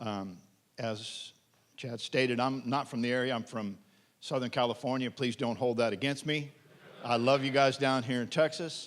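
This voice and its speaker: In an American accent, a man with a plain, everyday voice speaks at a moderate pace and medium pitch, his intonation fairly even. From Pennsylvania. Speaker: pastor. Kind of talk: testimony.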